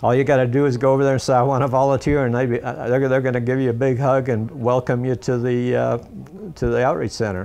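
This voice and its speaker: Over music in the background, a man with an American accent talks very fast at a medium pitch, his intonation monotone and flat and his loudness very even. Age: 70s. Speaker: local business owner. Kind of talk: interview. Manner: halting, many fillers and repeats.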